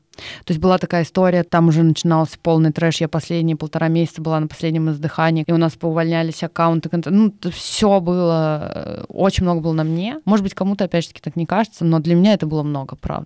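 A woman with a fairly low pitch and a dark, mellow tone talks at a very fast pace with hardly any pauses and fairly even intonation. The sound is dry and close, with no echo. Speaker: former agency account director, freelancer. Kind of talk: casual chat.

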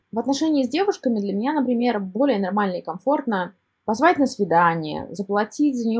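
A woman talks with lively intonation at a fairly high pitch. Her voice is somewhat breathy. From Kazan, Russia. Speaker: guest, telegram channel author. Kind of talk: personal story.

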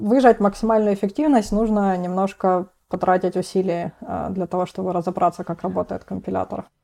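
A woman's medium-pitched voice, dark and mellow in tone, at a moderate pace with fairly even intonation on a very clean recording with a silent background. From Russia, Rostov-on-Don. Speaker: PhD student in programming languages. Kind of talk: technical interview. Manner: hesitant fillers.

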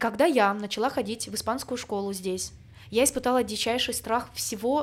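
A woman with a normal speaking voice talks at a fairly quick pace. Her pitch is fairly high, with ordinary pitch variation. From small eastern ethnic group. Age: 30s. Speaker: podcast co-host, migrant. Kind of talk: casual chat.

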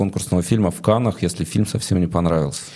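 Very fast speech from a man with a dark, mellow tone and ordinary pitch variation. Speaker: interviewer host. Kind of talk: interview conversation. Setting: studio.

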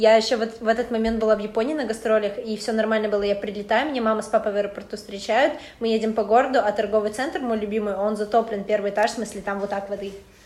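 Very fast, fairly high-pitched speech from a woman, fairly even in intonation, with noticeable background noise. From Russian Far East, Khabarovsk. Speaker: university student. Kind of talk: casual chat.

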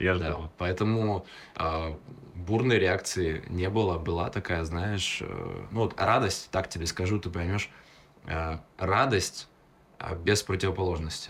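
A man's very deep, low voice at a very slow pace, with fairly even intonation. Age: young. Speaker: public speaking coach. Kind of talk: casual chat. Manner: articulate.

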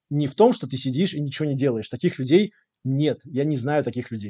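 This man's fairly high voice shows ordinary variation in pitch. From Latvia, Riga. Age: 30s. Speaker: early-retired investor. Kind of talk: interview. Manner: hesitant with frequent fillers.

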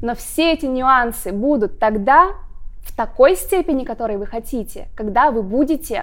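A woman's voice comes through at a high pitch. She keeps a moderate pace. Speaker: speech and voice coach. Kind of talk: monologue talk to camera.

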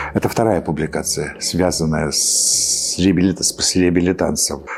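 A man at a very slow pace. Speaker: historian commentator. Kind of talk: interview, explanatory.

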